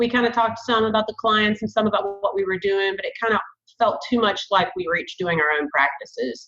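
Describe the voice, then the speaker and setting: Speaking at a fairly quick pace, a woman with a strong Southern US accent has a medium-pitched, bright, sharp tone and ordinary pitch variation. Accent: thick Southern. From US South, Savannah, Georgia. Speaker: therapist, group practice owner. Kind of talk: podcast interview.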